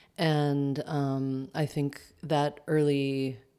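A woman with an American accent speaks at a very deep, low pitch in a very clean recording with a silent background. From US, upstate New York. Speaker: dance teacher. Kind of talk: interview. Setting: home kitchen. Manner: hesitant, many fillers.

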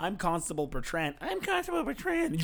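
Over light background noise, a man puts on a high-pitched character voice at a moderate pace. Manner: mocking, repeating in a funny voice.

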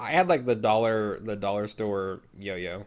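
In an American accent, an unremarkable speaking voice comes through with fairly even intonation on a very clean recording with a silent background. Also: man. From Minnesota, US Midwest. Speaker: podcast co-host. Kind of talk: casual chat.

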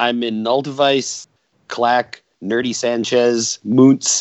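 This man has an unremarkable speaking voice at a medium pitch. His intonation stays fairly even. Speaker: electronic musician, singer. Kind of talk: casual interview chat.

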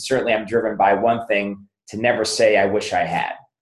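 At a fairly quick pace, a man with a normal speaking voice talks at a medium pitch. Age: 50s. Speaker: chiropractor and business author. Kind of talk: interview.

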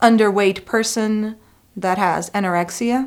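On a very clean recording with a silent background, a woman speaks in a Spanish accent. Her pitch is medium with ordinary variation, and her pace is fairly slow. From Costa Rica. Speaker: adjunct faculty and former graduate student. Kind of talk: interview.

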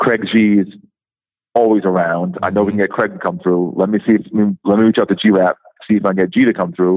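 Speaking at a very fast pace, a man keeps his loudness very even and his intonation fairly even. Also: fairly low pitch for a man. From Rhode Island (Providence). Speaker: hip-hop DJ. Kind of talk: interview. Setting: phone call.

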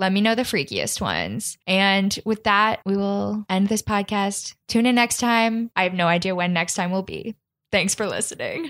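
A woman with an American accent uses a normal speaking voice at medium pitch, keeping a moderate pace with ordinary pitch variation and hardly any pauses. The very clean recording has a silent background and a dry, close sound with no echo. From Kansas City, Missouri, US. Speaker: podcast host. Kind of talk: casual chat.

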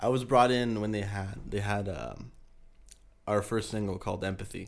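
A man with a Spanish accent, fairly low pitch, ordinary pitch variation and a moderate pace. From San Diego, California. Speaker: band vocalist. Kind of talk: casual chat.

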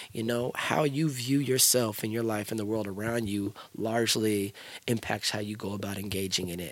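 A man with a normal speaking voice talks at a moderate pace in a fairly low pitch, with fairly even intonation. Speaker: hip hop artist and youth mentor. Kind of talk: interview conversation. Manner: fluent, flowing delivery.

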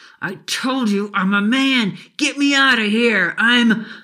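A put-on character voice, fairly high in pitch, at a fairly slow pace. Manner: furious, desperate, threatening.

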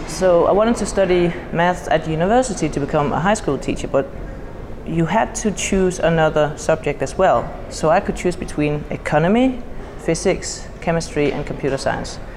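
A woman with a Danish accent speaks at a moderate pace in a fairly low voice, with audible room echo and noticeable background noise. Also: lively intonation. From Denmark. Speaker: computer science educator and conference organiser. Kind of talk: casual interview. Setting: at a conference.

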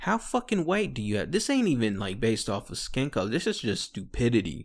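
On a very clean recording with a silent background, a man speaks at a fairly quick pace in an animated tone. His medium pitch carries vocal fry. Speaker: solo podcast host, military veteran. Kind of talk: casual solo monologue while drinking. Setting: home recording on microphone. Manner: animated, laughing often; halting, many fillers.

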